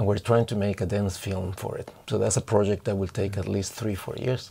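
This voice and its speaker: A man speaks at a fairly low pitch in a dark, mellow, somewhat breathy tone. His delivery is fairly quick, in a monotone, flat intonation. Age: 50s. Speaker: dancer and choreographer. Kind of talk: interview.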